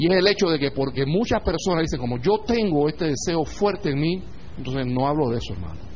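Talking at a very fast pace, a man with a fairly high pitch and lively intonation is heard over audible room echo. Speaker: spiritual teacher. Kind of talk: lecture. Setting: online audio class.

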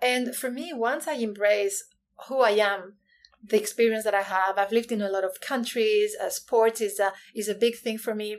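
Speaking at a moderate pace with a Spanish accent, a woman keeps her fairly high-pitched voice fairly even in intonation. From Spain, Canary Islands. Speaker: author and inclusion consultant. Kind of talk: interview.

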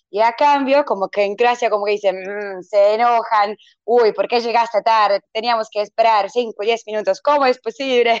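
Dry and close with no echo, the recording carries a woman with a Croatian accent and a fairly high pitch. She keeps a moderate pace with hardly any pauses. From Croatia, Vinkovci. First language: Croatian (speaking Spanish). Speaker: English teacher. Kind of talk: interview. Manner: halting, many fillers.

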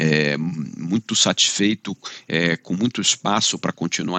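This man speaks at a fairly slow pace in a very deep, low voice. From Brazil, Rio de Janeiro. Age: 50s. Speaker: law firm CEO and lawyer. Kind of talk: podcast interview.

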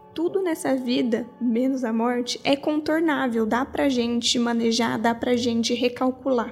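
Over music in the background, a woman with a high pitch speaks fairly slowly at a very even loudness, with ordinary pitch variation and hardly any pauses. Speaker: podcast host. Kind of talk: reflective monologue.

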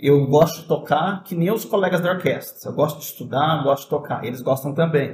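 A man talks at a fairly quick pace in a fairly high, somewhat breathy voice. His pitch varies in an ordinary way. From southern Minas Gerais, Brazil (Itajubá). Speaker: violinist and music professor. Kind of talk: casual interview chat.

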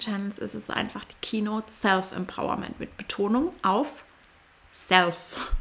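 A woman speaks at moderate speed with fairly even intonation while noticeable noise fills the background. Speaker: podcast host and coach. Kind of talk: solo podcast monologue. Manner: occasional stumbling.

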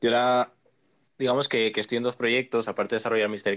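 A man speaks at a fairly quick pace. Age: 20s. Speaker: programmer. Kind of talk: casual chat.

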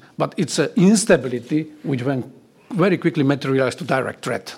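A man speaks fairly quickly in a Slovak accent, his pitch fairly high. His intonation is lively, with vocal fry. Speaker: retired general and security expert. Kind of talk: panel discussion.

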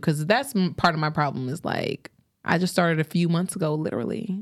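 Music plays in the background as a woman speaks at a fairly quick pace. Her pitch is fairly low. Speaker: podcast host. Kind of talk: casual chat. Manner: animated.

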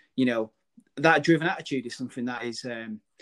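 At a very fast pace, a man talks at a medium pitch with ordinary pitch variation, the sound dry and close with no echo. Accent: northern English. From northern England. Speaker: podcast host. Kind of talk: casual interview chat.

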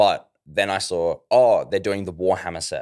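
A man with an Australian accent, on a very clean recording with a silent background. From Australia, Ballarat, Victoria. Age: 20s. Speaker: metal band vocalist. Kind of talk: casual chat.

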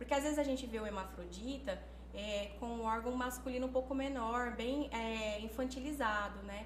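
A woman's voice with audible room echo. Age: 30s. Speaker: nursing technician. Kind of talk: casual chat.

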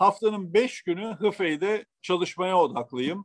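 A man at a very slow pace. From Turkey (Eskişehir, Istanbul). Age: 60s. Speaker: automotive quality executive. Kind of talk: interview. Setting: remote call. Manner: halting, frequent fillers.

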